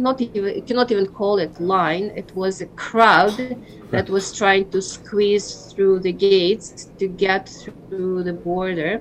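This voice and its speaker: Monotone, flat intonation and a Ukrainian accent come through over music in the background. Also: woman. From Ukraine. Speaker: school principal. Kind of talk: interview.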